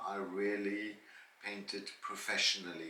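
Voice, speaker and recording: The speaker is a man. His voice carries audible room echo. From South Africa. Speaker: vlogger and former singer, teacher and painter. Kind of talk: Q&A monologue. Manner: hesitant with fillers.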